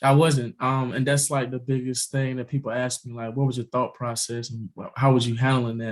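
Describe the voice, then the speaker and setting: In a very clean recording with a silent background, a somewhat breathy man at medium pitch talks at a fairly quick pace with monotone, flat intonation. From US South. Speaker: cancer survivor and author. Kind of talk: interview testimony.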